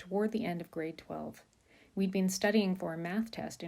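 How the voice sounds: What comes through is a natural reading voice.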